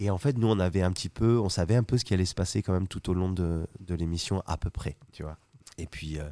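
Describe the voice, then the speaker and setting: On a very clean recording with a silent background and a dry, close sound with no echo, a man talks at a fairly quick pace in a very deep, low voice with a dark, mellow tone and ordinary pitch variation. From southwest France (Carcassonne, Toulouse). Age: 30s. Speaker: chef. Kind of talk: casual chat.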